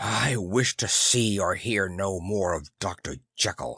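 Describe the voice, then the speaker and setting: With a fairly low, growling voice and lively intonation, a man speaks at a fairly slow pace in a dry, close sound with no echo. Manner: loud, refusing.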